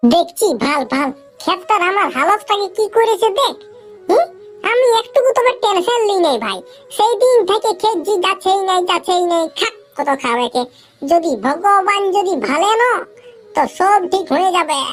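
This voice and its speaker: A squeaky, cartoonish character voice at a moderate pace, with faint music in the background. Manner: brash, rambling, dialect-heavy.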